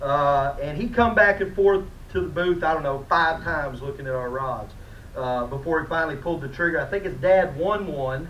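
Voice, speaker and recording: A loud man with a high pitch at a moderate pace, ordinary pitch variation, noticeable background noise and audible room echo. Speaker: fishing rod company representative. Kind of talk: award presentation at a conference. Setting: conference room with audience.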